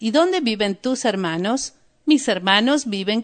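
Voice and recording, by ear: Reading aloud in a natural voice, the speaker uses lively intonation.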